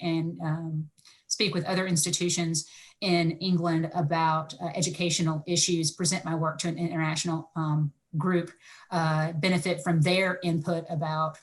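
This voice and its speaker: Somewhat breathy, a woman speaks with a fairly low pitch and monotone, flat intonation. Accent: American. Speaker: higher education researcher. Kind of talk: panel discussion. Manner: fast.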